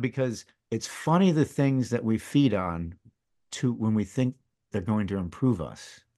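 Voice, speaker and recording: A man's medium-pitched voice with ordinary pitch variation, against a quiet background. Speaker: retired coast guard officer and podcaster. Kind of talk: casual chat. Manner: halting.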